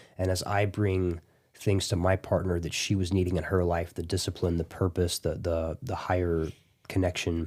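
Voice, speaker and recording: A very clean recording with a silent background: a man with an American accent, very deep and low in pitch, monotone and flat, at a moderate pace. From Kentucky, US South. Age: 30s. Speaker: jiu-jitsu competitor and gym owner. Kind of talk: casual podcast interview.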